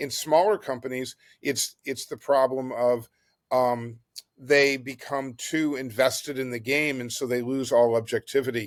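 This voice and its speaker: An unremarkable speaking voice moves at a fairly slow pace with fairly even intonation in a very clean recording with a silent background. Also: man, medium pitch for a man. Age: 60s. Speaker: board game company founder. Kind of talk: podcast interview.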